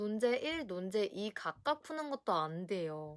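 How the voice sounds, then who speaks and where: Her medium-pitched voice swings very widely in pitch as this woman talks, the sound dry and close with no echo. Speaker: essay writing tutor. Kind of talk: educational talk to camera.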